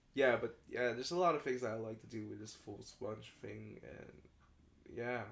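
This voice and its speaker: A man speaks at a moderate pace, his loudness swinging widely. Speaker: podcast co-host and artist. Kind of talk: casual chat.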